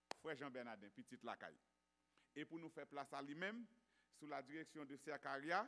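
A man speaks at a fairly high pitch with a bright, sharp tone. His pitch variation is ordinary. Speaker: church announcer. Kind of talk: announcements and exhortation. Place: church. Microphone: podium.

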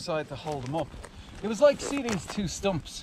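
Noticeable background noise accompanies a man who speaks at a moderate pace. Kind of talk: casual chat. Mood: relaxed, enthusiastic. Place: forest.

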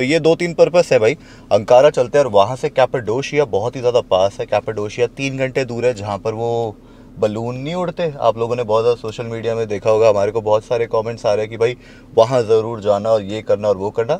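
Dark and mellow in tone, a man speaks at a moderate pace with ordinary pitch variation in a dry sound with no echo. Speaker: travel vlogger. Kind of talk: casual vlog chat. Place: car.

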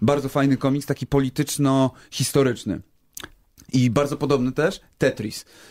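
A man with a plain, everyday voice speaks at a medium pitch and moderate pace. His intonation is fairly even, his loudness very even, and the sound dry and close with no echo. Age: 30s. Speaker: YouTuber. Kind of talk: casual chat.

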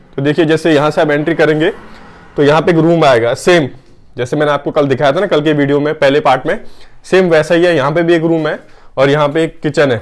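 At a fairly quick pace, a man speaks with fairly even intonation. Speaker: cafe owner vlogger. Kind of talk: casual vlog tour. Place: kitchen. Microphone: phone near.

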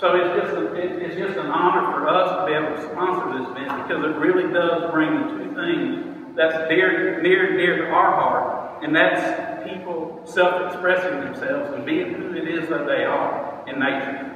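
With hardly any pauses, a man speaks in a high pitch amid strong room echo and light background noise. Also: lively intonation, moderate pace. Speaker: motivational speaker. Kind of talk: short speech at an event. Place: hall. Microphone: phone near.

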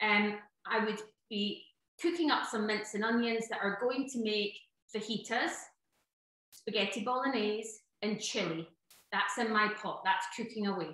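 The speaker has a Scottish accent and a moderate pace with ordinary pitch variation. Long pauses come often. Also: woman, fairly high pitch for a woman. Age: 40s. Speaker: cookery author. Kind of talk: online workshop. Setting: video call. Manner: animated.

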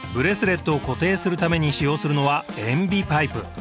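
A man talks at a moderate speed. Background music is playing behind him. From Tokyo. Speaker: actor, narrator. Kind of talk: TV documentary narration.

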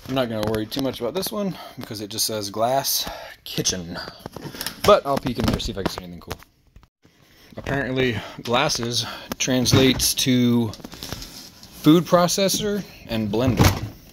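With long, frequent pauses and a moderate pace, a man talks against noticeable background noise. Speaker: storage unit reseller. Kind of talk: casual vlog commentary. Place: garage. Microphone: phone near.

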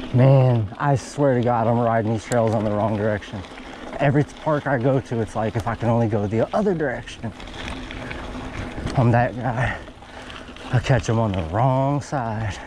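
Noticeable background noise sits under a man talking at a moderate pace with ordinary pitch variation and long, frequent pauses, in a dry sound with no echo. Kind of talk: casual vlog commentary while riding. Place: forest. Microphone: camera far.

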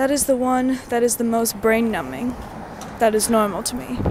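Recorded dry with no echo but with noticeable background noise, the speaker talks at a moderate pace with an American accent. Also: woman. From California. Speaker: vlogger. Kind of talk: casual video diary. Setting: self-recorded on the go. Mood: reflective, candid. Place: street. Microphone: earbuds.

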